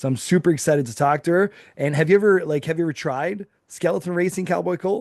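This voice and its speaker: At a very fast pace, a man with a high pitch talks in an animated tone with ordinary pitch variation, the sound dry and close with no echo. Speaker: podcast host. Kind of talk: casual chat.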